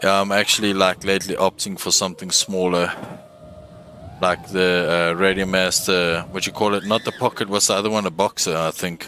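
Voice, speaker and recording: With a South African accent, a man speaks at a fairly quick pace in a very deep, low pitch and a monotone, flat intonation, with noticeable background noise behind him. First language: Afrikaans. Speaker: gaming streamer. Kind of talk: casual gameplay livestream. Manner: casual, halting.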